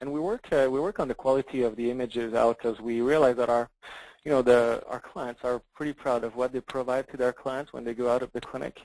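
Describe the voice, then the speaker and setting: Fairly even intonation comes through in a dry, close sound with no echo. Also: man. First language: French. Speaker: software product demonstrator. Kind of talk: software demo in a webinar. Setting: webinar, online call. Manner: halting, many fillers and repeats.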